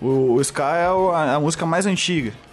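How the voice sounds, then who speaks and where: Over music in the background and audible room echo, a man talks at a fairly slow pace. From Brazil, southern Minas Gerais. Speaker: advertising professional and metal/hardcore band vocalist-bassist. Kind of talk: casual chat. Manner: halting, many repetitions and fillers.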